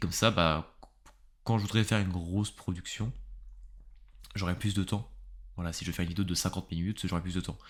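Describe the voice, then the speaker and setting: Very deep and low, a man's voice moves at a fairly quick pace with fairly even intonation and long, frequent pauses. The recording is very clean with a silent background. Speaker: YouTuber and podcaster on philosophy. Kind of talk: casual solo podcast monologue. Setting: home recording with pop filter. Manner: fast; casual, hesitant with fillers.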